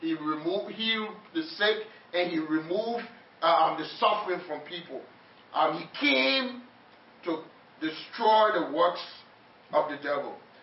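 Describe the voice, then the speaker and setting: Noticeable background noise sits behind a man who talks at a fairly slow pace, with big swings in loudness and long, frequent pauses. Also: high pitch for a man, ordinary pitch variation. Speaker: preacher. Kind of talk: sermon. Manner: animated; call-and-response.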